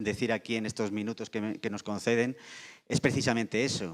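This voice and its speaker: A man is heard in a very clean recording with a silent background and a dry, close sound with no echo. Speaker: insurance industry panelist. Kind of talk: panel discussion. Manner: halting with repetitions.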